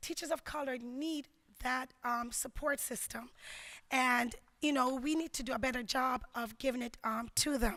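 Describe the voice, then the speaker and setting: In a very clean recording with a silent background, a woman with a Jamaican accent uses a raised, projected voice, high in pitch and bright and sharp in tone, speaking fairly slowly with fairly even intonation. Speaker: educator, keynote speaker. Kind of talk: conference keynote speech. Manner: hesitant, many filler words.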